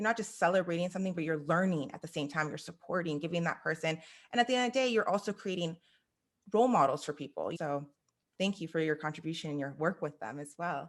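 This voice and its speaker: Talking at a very fast pace, a woman with an American accent uses lively intonation and a fairly low pitch. The recording is very clean, with a silent background. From US, Iranian heritage. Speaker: podcast host. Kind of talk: interview.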